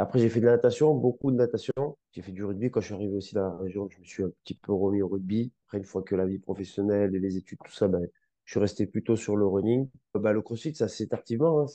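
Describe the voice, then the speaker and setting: Recorded dry and close with no echo, a man speaks very fast in a fairly low voice with a dark, mellow tone and big swings in loudness. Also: ordinary pitch variation. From France, Grenoble (Alps). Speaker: physiotherapist and osteopath. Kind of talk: casual interview. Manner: animated.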